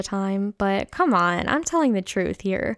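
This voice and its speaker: A woman speaks at a moderate pace in a medium pitch, with an unremarkable speaking voice. The sound is dry and close with no echo, and the recording is very clean with a silent background. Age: 20s. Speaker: podcast host. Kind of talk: solo Q&A monologue. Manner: youthful-sounding.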